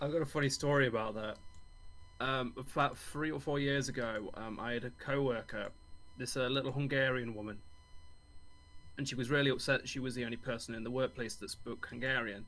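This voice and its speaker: A man speaks with an English accent at a fairly quick pace. His intonation stays fairly even. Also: medium pitch for a man. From England. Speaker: friend of host. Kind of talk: casual chat.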